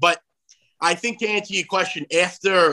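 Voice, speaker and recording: A man speaks with a New York accent in a bright, sharp tone. The sound is dry and close with no echo, and his pitch varies in an ordinary way. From New York, Long Island. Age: 30s. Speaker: conservative comedian and commentator. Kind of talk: interview.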